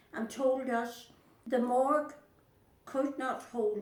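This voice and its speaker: A woman with a Northern Irish accent at a very slow pace, amid noticeable background noise. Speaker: Second World War civilian witness. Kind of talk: oral history interview.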